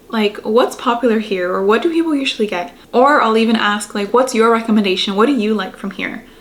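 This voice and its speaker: Noticeable background noise sits behind a woman with a fairly high pitch. She speaks at a fairly quick pace with hardly any pauses. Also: ordinary pitch variation. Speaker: lifestyle YouTuber giving advice. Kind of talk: casual vlog pep talk. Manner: casual, filler-heavy ('like').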